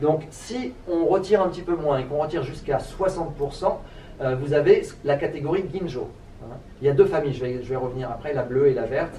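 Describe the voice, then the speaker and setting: Amid noticeable background noise and audible room echo, a man talks at a fairly quick pace with a fairly high pitch and ordinary pitch variation. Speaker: sake expert giving a talk. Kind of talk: lecture. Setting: trade fair talk with audience. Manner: fast; halting, many fillers and repetitions.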